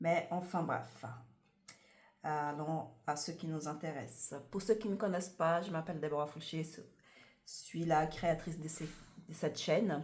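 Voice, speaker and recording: Room echo is audible as a woman speaks at a very deep, low pitch, somewhat breathy. Her intonation stays fairly even and her pace fairly slow. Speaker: tarot reader. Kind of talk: tarot card reading to camera. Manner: hesitant, many fillers.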